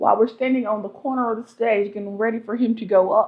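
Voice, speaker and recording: Speaking at a very fast pace, a woman talks in a fairly high pitch. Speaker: vlogger. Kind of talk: casual chat. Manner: animated.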